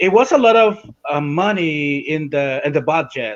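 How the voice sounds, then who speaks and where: Here a man speaks with a Spanish accent. His voice sits at a fairly high pitch. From Nicaragua, Caribbean coast (Miskito community). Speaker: Sandinista political guest. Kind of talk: podcast interview. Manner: halting, many fillers and restarts.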